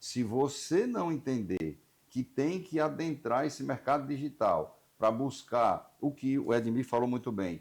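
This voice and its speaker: This man has an ordinary speaking voice, medium in pitch, with lively intonation and a moderate pace. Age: 60s. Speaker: insurance broker union representative, show host. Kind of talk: interview.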